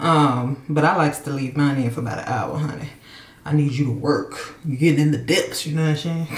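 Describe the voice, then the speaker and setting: Female voice at a very deep, low pitch and fairly quick pace, with audible room echo and noticeable background noise. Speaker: lifestyle vlogger. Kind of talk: casual vlog monologue. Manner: loud; animated.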